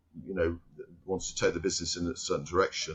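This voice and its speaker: A man's very deep, low voice at a very fast pace. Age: 60s. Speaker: company chairman. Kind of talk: interview. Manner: halting.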